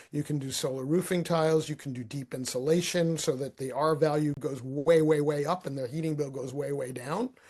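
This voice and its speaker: This man talks at a fairly quick pace with hardly any pauses, his somewhat breathy voice sitting fairly high in pitch with fairly even intonation. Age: 60s. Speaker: marketing strategist and author. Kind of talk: podcast interview. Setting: podcast.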